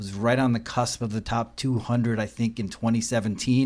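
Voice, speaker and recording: In a very clean recording with a silent background, a man talks at a fairly quick pace with medium pitch and a normal speaking voice. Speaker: podcast host. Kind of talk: interview chat. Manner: friendly, upbeat.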